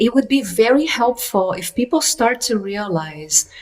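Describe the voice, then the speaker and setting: With a non-native accent and lively intonation, a woman speaks over noticeable background noise. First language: not English. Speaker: workshop teacher. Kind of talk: interview conversation.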